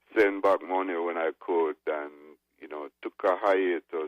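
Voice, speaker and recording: In a Jamaican accent, a man speaks at a fairly slow pace. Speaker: reggae record producer. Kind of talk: interview.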